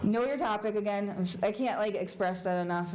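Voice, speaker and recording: A woman speaks with fairly even intonation. Audible room echo and noticeable background noise surround her voice. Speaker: security consultant, conference speaker. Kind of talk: conference talk. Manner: fast; casual.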